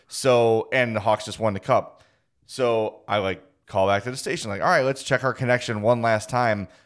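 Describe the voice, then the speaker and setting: A plain, everyday voice, heard in a very clean recording with a silent background. The pace is moderate and the intonation fairly even. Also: man, medium pitch for a man. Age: 40s. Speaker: sports podcast host. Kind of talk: casual chat.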